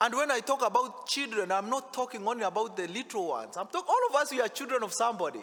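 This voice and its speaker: A loud man with an extremely high voice, a very fast pace, ordinary pitch variation and hardly any pauses, over noticeable background noise. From Africa. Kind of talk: sermon. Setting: church.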